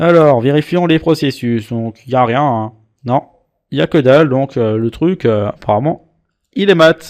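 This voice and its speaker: Speaking at a fairly slow pace with a playful tone, a man with an Alsatian accent uses a fairly high pitch, recorded dry and close with no echo. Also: ordinary pitch variation. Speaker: antivirus reviewer. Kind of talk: screen-recorded software tutorial. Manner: casual, playful.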